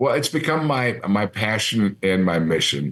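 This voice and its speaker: With a very deep, low pitch, a man speaks in lively intonation. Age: 60s. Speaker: retired TV sports anchor. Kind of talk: interview. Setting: studio.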